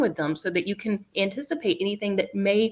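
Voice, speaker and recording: With an American accent, a woman in an unremarkable speaking voice talks at a fairly quick pace with lively intonation. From US South. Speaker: podcast co-host. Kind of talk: casual chat.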